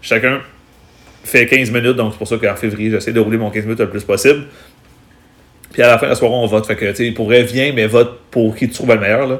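Very fast speech in a monotone, flat intonation, broken by long, frequent pauses. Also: man, medium pitch for a man. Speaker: stand-up comedian. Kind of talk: casual chat.

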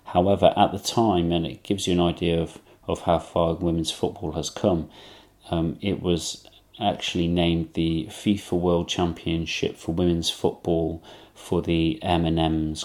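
With an English accent, a man speaks at a moderate pace in a very deep, low voice with monotone, flat intonation. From England. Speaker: podcast host. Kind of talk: solo commentary monologue.

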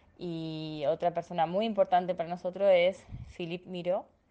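A woman with an unremarkable speaking voice, fairly low in pitch, talks at a fairly slow pace. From Argentina, small town in Santa Fe province. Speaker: educational psychologist and lecturer. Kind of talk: interview, travel story.

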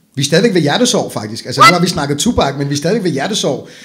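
At a very fast pace, a man speaks with a bright, sharp tone and lively intonation. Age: 40s. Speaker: podcast host. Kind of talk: casual chat.

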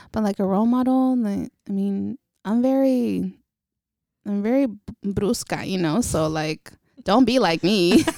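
A woman with an American accent and a medium pitch speaks at a fairly slow pace with long, frequent pauses, her tone dark and mellow and her intonation lively. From Northern California, Vallejo. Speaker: photographer. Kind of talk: casual interview.

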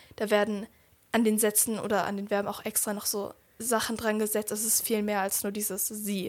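The woman's pitch is fairly high, her intonation monotone and flat. She keeps a moderate pace. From Germany. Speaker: podcast guest. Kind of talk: casual chat.

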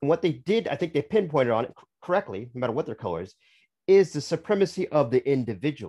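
In a very clean recording with a silent background, a man with a fairly high pitch and vocal fry talks at a very fast pace, with very wide pitch swings and big swings in loudness. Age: 50s. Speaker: author. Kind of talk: interview.

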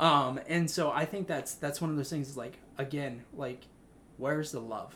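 Speaking at a moderate pace, a man has a bright, sharp tone and fairly even intonation. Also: fairly high pitch for a man. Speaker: podcast host. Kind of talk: casual chat, faith discussion.

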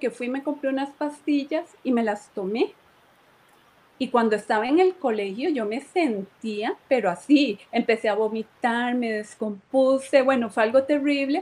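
A woman's high-pitched voice at a fairly slow pace with ordinary pitch variation. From Costa Rica (Moravia, San José). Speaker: church member giving testimony. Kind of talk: testimony. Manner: hesitant, repeats words.

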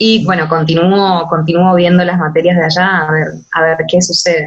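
A woman uses a normal speaking voice, medium in pitch, and talks at a moderate tempo. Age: 20s. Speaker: law student on exchange. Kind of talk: interview.

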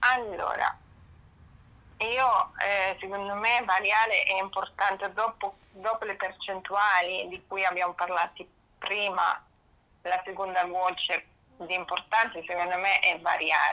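A woman with a German accent and a bright, sharp tone speaks at medium pitch and a fairly slow pace, with fairly even intonation and long, frequent pauses. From northern Germany. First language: German (speaking Italian). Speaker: pet nutrition consultant. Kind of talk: interview.

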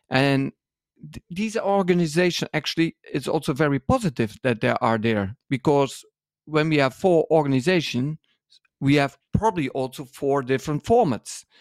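A man with a Dutch accent and a fairly high voice, lively intonation and a moderate pace, on a very clean recording with a silent background. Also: dry, close sound with no echo. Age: 50s. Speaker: dance school owner and podcast co-host. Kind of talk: interview.

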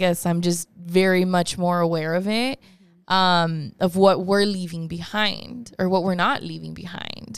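In an ordinary speaking voice, a woman with an American accent talks fairly slowly at medium pitch with fairly even intonation, recorded very cleanly over a silent background. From Chicago and Monterrey, Mexico. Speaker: podcast host. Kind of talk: casual chat.

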